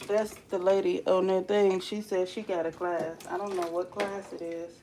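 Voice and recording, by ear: A woman's fairly low, dark, mellow voice at a moderate pace, with little pitch movement and audible room echo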